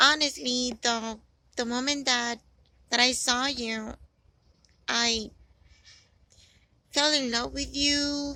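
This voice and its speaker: In a Spanish accent, a woman speaks at a high pitch and a very slow pace, her tone bright and sharp. Her intonation is monotone and flat, and the recording is very clean, with a silent background. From Dominican Republic. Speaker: personal video message maker. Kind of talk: personal monologue addressed to one person. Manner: halting, many fillers and repetitions.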